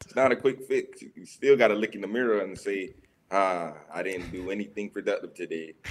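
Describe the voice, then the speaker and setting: This man has an ordinary speaking voice, fairly low in pitch, talking at a fairly quick pace with ordinary pitch variation and big swings in loudness. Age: 20s. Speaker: fitness trainer and college student. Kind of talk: casual chat.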